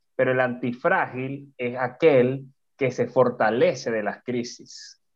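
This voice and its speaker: A man's voice at a medium pitch. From Venezuela. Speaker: podcast co-host, entrepreneur and speaker. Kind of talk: casual interview chat. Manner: animated.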